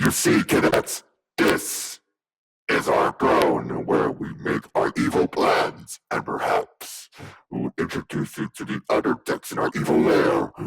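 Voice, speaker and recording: A man puts on a growling character voice. He talks at a fairly slow pace. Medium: machinima. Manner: eager, enthusiastic.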